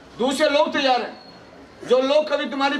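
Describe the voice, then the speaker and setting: Over light background noise, a man talks with fairly even intonation at an extremely high pitch. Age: 60s. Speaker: party politician. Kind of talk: political rally speech. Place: hall. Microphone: handheld.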